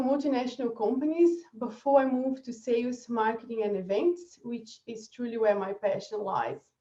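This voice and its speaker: A woman's high-pitched voice with a Brazilian accent, dark and mellow in tone, lively in intonation, with big swings in loudness and hardly any pauses. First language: Portuguese. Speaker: marketing strategist. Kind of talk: webinar presentation.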